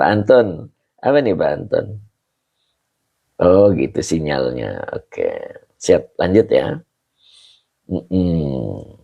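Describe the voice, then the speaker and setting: Here a man speaks at a very slow pace. He takes long, frequent pauses. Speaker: Islamic religious teacher. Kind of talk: online religious study lesson.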